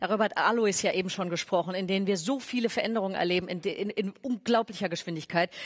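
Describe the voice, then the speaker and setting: With ordinary pitch variation, a woman speaks at a very fast pace against a quiet background. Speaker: stage moderator. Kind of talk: speaker introduction. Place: stage. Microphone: headset.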